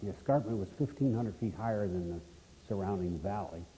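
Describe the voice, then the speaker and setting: A man with a fairly low, dark, mellow voice sounds somewhat breathy and uses lively intonation. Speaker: retired army aviation officer. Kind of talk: interview answer.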